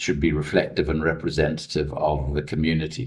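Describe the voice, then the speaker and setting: Speaking at a fairly quick pace, a man with a very deep, low voice sounds somewhat breathy and shows ordinary pitch variation. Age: 60s. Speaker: investigative journalist, former politician. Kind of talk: press conference answer.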